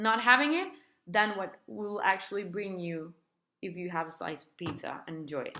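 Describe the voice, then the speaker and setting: A woman's voice with a Spanish accent. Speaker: therapist and healer sharing recovery experience. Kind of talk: personal advice video. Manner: casual, conversational.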